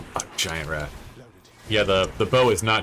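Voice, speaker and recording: A man is talking, and noticeable background noise can be heard along with him. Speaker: video game streamer. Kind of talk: live gameplay stream commentary. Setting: live stream with chat. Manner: loud. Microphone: new mic, not fully set up.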